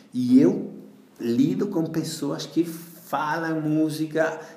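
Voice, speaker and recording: A man talks at a very slow pace amid noticeable background noise and audible room echo. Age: 40s. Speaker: yoga teacher. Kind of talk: interview. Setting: home kitchen.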